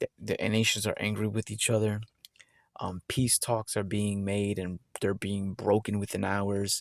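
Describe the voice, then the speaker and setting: In a dry, close sound with no echo, a man speaks at a fairly slow pace with a fairly low pitch. His intonation is monotone and flat in a very clean recording with a silent background. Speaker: religious video host. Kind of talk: bible teaching. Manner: halting.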